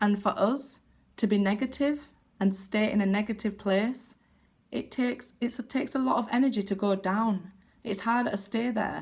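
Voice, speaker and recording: Fairly even intonation from a woman, somewhat breathy. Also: fairly high pitch for a woman, moderate pace. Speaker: tarot card reader. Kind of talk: casual talk to camera. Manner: shaky when giving bad news.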